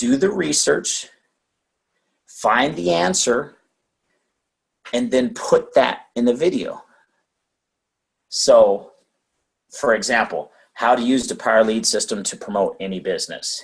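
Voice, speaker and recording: Fairly slow delivery with long, frequent pauses. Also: man. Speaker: online marketing trainer. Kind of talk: training webinar. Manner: animated.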